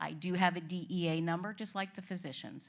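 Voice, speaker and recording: A woman with a Boston accent at a medium pitch and fairly quick pace, on a very clean recording with a silent background. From Boston area. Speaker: nurse practitioner. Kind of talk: informational talk at staff meeting.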